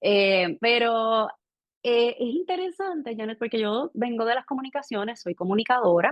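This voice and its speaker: Here is a woman with a Puerto Rican accent and a fairly high pitch. Her intonation is lively and her pace moderate. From Puerto Rico. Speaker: financial educator and communicator. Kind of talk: interview conversation.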